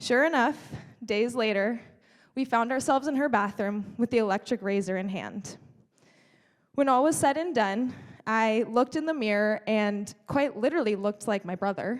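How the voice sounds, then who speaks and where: A woman with a normal speaking voice, fairly high pitch, ordinary pitch variation and an American accent, at a moderate pace. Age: 20s. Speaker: speaker. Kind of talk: keynote speech. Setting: stage with audience.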